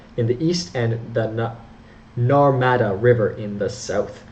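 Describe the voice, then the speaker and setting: In a Canadian accent, a man speaks with audible room echo. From Canada. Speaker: history educator. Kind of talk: educational lecture. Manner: halting, frequent self-corrections.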